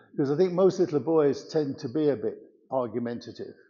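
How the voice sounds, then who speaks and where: The speaker has an English Midlands accent and a fairly quick pace. Pitch variation is ordinary. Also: man. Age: 80s+. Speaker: church member giving testimony. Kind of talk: testimony.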